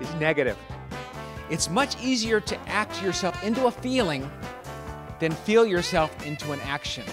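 Over clear music in the background, a man speaks in an energetic tone with very wide pitch swings. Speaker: motivational speaker and comedian. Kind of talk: motivational keynote talk. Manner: energetic, engaging, direct. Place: stage. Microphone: handheld.

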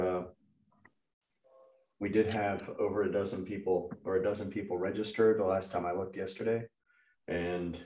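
A man's fairly low, monotone, flat voice amid audible room echo. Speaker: webinar host. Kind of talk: casual meeting host chat. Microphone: video call.

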